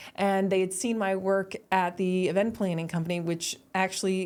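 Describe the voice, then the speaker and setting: In an American accent, a woman with a plain, everyday voice speaks at a moderate pace and medium pitch with fairly even intonation on a very clean recording with a silent background. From US, New York. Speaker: finance expert and children's book author. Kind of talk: podcast interview.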